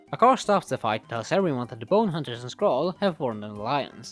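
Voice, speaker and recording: Over music in the background, a man races along at a very fast pace with very wide pitch swings. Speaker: movie reviewer. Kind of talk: casual movie review commentary.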